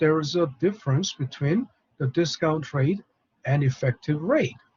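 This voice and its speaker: A man speaking at a moderate pace. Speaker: professor. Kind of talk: lecture. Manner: halting; soft-spoken.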